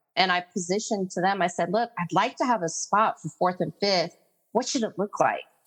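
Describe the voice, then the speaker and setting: The woman's voice sits at a medium pitch with ordinary variation. She talks at a fairly quick pace. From California (came from Korea age five). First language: Korean. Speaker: educational consultant. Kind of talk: interview.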